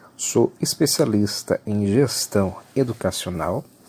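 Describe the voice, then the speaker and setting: A man speaks in a dark, mellow tone. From Brazil, Salvador (Bahia). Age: 30s. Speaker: university lecturer. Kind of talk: lecture.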